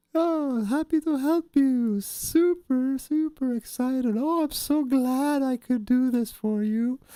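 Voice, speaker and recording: A high-pitched put-on character voice moves at a fairly slow pace with hardly any pauses. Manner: sarcastic; overly eager, cheerful.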